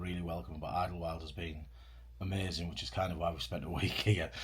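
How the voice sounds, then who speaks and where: Talking at a very fast pace with vocal fry, a man is heard with audible room echo. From Britain. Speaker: long-distance hiker and vlogger. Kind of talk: casual chat. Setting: indoors in a cabin.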